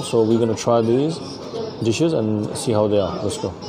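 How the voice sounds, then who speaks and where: A man at a moderate pace, with noticeable background noise around him. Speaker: food vlogger. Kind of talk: casual vlog chat. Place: cafe. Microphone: phone near.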